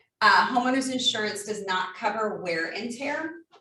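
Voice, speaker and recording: A woman with a fairly high pitch speaks amid audible room echo. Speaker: insurance agent. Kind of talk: presentation. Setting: live workshop with in-person and Zoom audience. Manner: fast.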